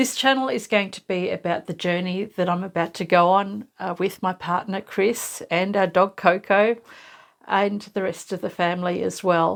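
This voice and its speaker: In an Australian accent, a woman with a medium pitch speaks at a fairly slow pace on a very clean recording with a silent background. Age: 60s. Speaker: sewing YouTuber, cancer patient. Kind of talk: personal vlog, casual talk to camera. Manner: conversational, with hesitations.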